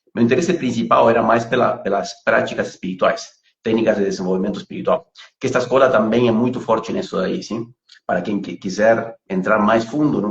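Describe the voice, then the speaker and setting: A man with a Uruguayan accent speaks at a fairly quick pace. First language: Spanish (speaking Portuguese). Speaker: pranic healing instructor. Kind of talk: interview on a live stream. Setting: online live video. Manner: halting, many repetitions and fillers.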